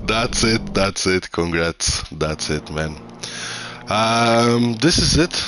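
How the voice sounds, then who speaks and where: Against noticeable background noise, a man with a fairly low pitch speaks at a very slow pace with lively intonation. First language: Croatian. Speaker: sim racing commentator. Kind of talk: live commentary. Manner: halting; animated.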